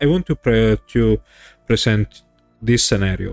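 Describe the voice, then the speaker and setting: Music plays behind a man speaking with a strong Italian accent. The sound is dry and close, with no echo. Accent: thick Italian. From Italy. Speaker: streamer. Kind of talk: livestream political commentary. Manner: hesitant, non-fluent English.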